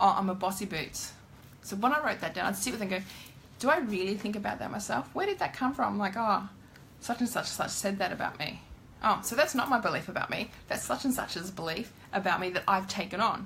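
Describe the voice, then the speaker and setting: At a fairly quick pace, a woman with a medium pitch and lively intonation speaks against noticeable background noise. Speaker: tarot card reader. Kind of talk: live-streamed card reading with spiritual advice. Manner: loud.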